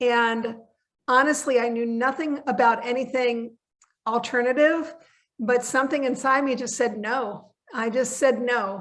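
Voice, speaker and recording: With a high voice and fairly even intonation, a woman speaks at a fairly slow pace. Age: 60s. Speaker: veterinary technician and supplement educator. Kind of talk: interview. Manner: hesitant, many fillers.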